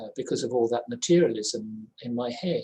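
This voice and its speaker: A man's dark, mellow voice at a moderate pace. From England. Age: 70s. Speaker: spiritual practitioner and journalist. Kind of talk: testimony. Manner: halting.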